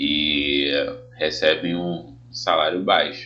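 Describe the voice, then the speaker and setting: Audible room echo and noticeable background noise surround a man speaking. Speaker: teacher. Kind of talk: tutorial. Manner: casual.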